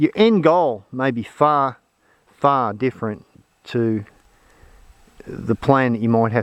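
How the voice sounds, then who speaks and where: An Australian-accented man at a medium pitch, with lively intonation and a fairly slow pace. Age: 60s. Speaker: off-grid homesteader. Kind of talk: casual talk to camera. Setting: outdoors.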